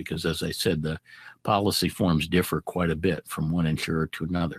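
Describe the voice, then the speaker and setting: A man speaks at a moderate pace in a very deep, low pitch with fairly even intonation. The sound is dry and close with no echo, on a very clean recording with a silent background. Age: 70s. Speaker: aviation expert presenter. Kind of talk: lecture. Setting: presentation to an audience. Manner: halting, many fillers and repetitions.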